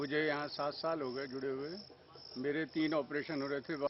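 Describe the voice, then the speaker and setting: A man's fairly high-pitched voice in a flat, monotone delivery. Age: 60s. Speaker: devotee. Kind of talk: testimony.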